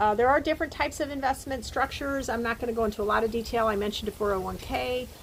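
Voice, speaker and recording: A woman speaks very fast, with noticeable background noise around her. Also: fairly high pitch for a woman, ordinary pitch variation. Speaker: professor. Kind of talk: lecture. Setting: recorded video talk with slides.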